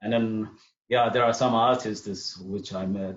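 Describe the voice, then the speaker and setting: Fairly slow male speech with ordinary pitch variation. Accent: Eritrean. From Eritrea. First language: Tigrinya. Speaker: artist and musician. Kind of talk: interview. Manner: halting.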